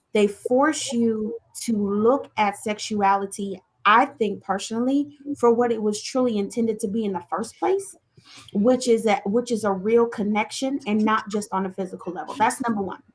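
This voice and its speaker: A woman talks in an unremarkable speaking voice, pitched fairly high. Her pace is moderate and her intonation fairly even. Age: 40s. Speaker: talk show co-host. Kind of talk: casual chat. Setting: live online show.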